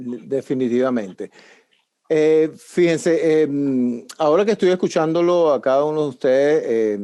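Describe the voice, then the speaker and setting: A man talks at a fairly slow pace with a dark, mellow tone. His fairly high voice has lively intonation. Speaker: show host. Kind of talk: interview moderation.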